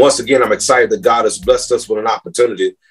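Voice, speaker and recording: A man is speaking. Music plays in the background. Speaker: preacher. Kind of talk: sermon.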